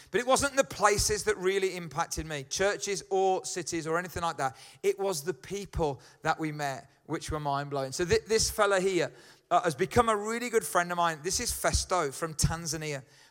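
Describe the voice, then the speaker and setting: Speaking at a moderate pace with a Birmingham accent, a man with a high pitch shows ordinary pitch variation on a very clean recording with a silent background. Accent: Birmingham (Brummie). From Birmingham, England. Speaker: pastor. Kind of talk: sermon. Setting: church. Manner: casual, halting.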